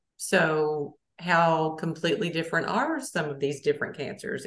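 A woman talks with a Southern US accent. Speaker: college radio host. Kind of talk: interview. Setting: radio studio.

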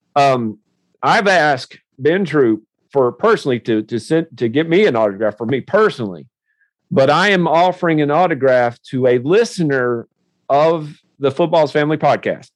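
Here a man speaks with a Tennessee accent at a moderate pace. His pitch is fairly high and his intonation lively. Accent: Southern US (Tennessee). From US South, Nashville area. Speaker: podcast host. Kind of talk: casual interview.

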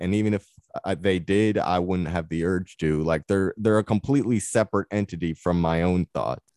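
A man speaks with a very deep, low pitch and ordinary pitch variation, recorded very cleanly against a silent background with a dry, close sound and no echo. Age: 20s. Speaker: mental illness survivor. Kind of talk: interview. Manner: halting.

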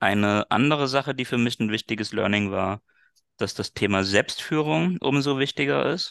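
A plain, everyday voice from a man, medium in pitch, with lively intonation at a moderate pace, in a dry, close sound with no echo and a quiet background. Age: 30s. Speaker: business coach and former sales manager. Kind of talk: interview.

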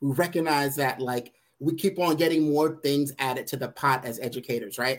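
This man has an unremarkable speaking voice with an American accent, a fairly high pitch and ordinary pitch variation. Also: moderate pace. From Brooklyn, New York. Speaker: education consultant and author. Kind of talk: interview.

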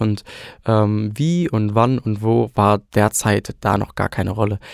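Dry and close with no echo, the very clean recording has a silent background. A man speaks in a normal speaking voice at medium pitch with ordinary pitch variation. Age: 20s. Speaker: trainee and amateur singer. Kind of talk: casual chat.

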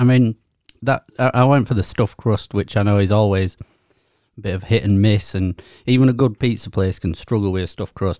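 With a Yorkshire accent, a man talks at a fairly quick pace in a fairly low pitch, his dark, mellow tone and fairly even intonation caught in a dry, close sound with no echo. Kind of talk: casual chat. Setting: studio.

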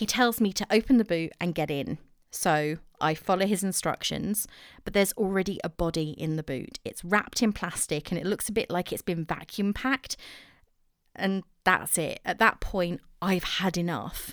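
An English accent at a moderate pace with ordinary pitch variation, in a very clean recording with a silent background. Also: woman. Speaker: podcast host. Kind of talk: solo podcast monologue, casual. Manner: chatty, self-deprecating.

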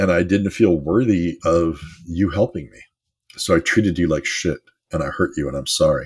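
A man's very deep, low voice, somewhat breathy, at a moderate pace with ordinary pitch variation and big swings in loudness. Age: 50s. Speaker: life coach podcast host. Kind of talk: motivational monologue.

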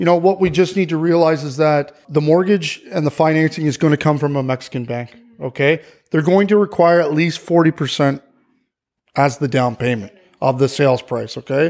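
With a Canadian accent and an unremarkable speaking voice, a man talks at a fairly quick pace and fairly high pitch. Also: ordinary pitch variation. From Ontario, Canada. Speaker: real estate agent. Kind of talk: interview.

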